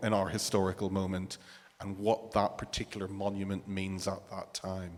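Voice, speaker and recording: A man with a fairly low voice and a Northern Irish accent. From Northern Ireland. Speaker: panelist. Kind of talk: panel discussion.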